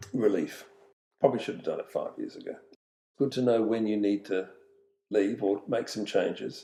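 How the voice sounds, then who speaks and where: A man with an Australian accent talks with long, frequent pauses. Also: moderate pace. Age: 70s. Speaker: retired business owner and community volunteer. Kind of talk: podcast interview. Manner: halting, many fillers.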